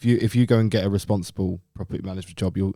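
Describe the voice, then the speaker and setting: A man with a London accent talks at a very fast pace in a fairly low pitch. His tone is dark and mellow, and his intonation is fairly even. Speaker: podcast co-host. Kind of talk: casual chat.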